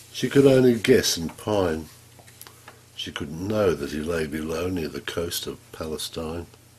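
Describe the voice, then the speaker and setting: A man with an Australian accent and a very deep, low pitch talks at a fairly slow pace with lively intonation and big swings in loudness. Noticeable background noise is present. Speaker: poet. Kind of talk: poetry reading.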